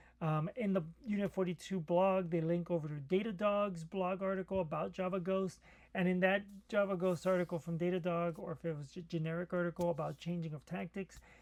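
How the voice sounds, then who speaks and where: A man's mumbling voice, high in pitch, at a fairly quick pace with fairly even intonation. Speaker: cybersecurity commentator. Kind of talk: solo tech commentary. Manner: hesitant, many fillers.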